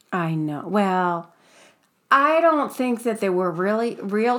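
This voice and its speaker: The woman's intonation is lively and her pitch medium, while her pace is very slow. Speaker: podcast host. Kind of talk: casual chat. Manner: laughs often, chatty.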